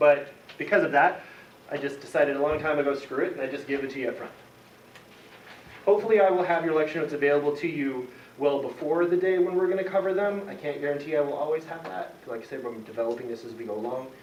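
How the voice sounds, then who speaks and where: A man talks at a very fast pace with ordinary pitch variation and big swings in loudness. Noticeable background noise and audible room echo surround him. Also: fairly high pitch for a man. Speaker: college chemistry instructor. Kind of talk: lecture.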